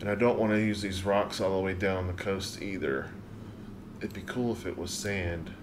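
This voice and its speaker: A man with an American accent speaks at a moderate pace and a fairly low pitch. His intonation stays fairly even over noticeable background noise. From US South, South Carolina. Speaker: gaming streamer. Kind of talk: live stream gameplay commentary. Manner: casual, thinking aloud. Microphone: studio mic.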